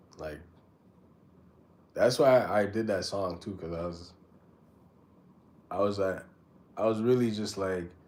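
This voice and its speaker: With audible room echo, a man speaks fairly slowly and leaves long, frequent pauses. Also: fairly low pitch for a man, ordinary pitch variation. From Canada (born in Jamaica, raised in Canada). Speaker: rapper and livestreamer. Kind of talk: casual chat. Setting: livestream. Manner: casual, halting with filler words.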